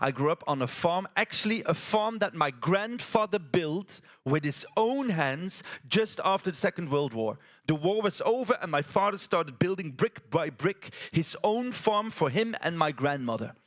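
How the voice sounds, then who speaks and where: Here a man speaks at a moderate pace. His pitch is high and his intonation lively. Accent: Flemish. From Belgium, West Flanders. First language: Dutch (West Flemish). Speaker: theatre artist, storyteller. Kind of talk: stage storytelling performance. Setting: stage with audience at a conference. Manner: animated, gesturing.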